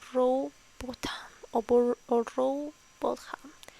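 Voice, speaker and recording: Soft-spoken delivery with a dark, mellow tone. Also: woman. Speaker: ASMR reader. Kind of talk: casual intro to camera. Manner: soft, slow.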